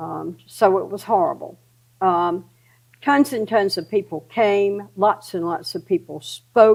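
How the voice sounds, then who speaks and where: A woman talks at a very slow pace with lively intonation and a medium pitch. Her loudness swings widely. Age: 80s+. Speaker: parent advocate, LGBTQ support group co-founder. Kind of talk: casual conversation, recounting history.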